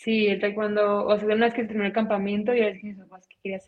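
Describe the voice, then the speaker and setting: Very fast and monotone, a woman talks in flat intonation at a medium pitch. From Mexicali, Baja California, Mexico. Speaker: taekwondo world champion athlete. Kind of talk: interview.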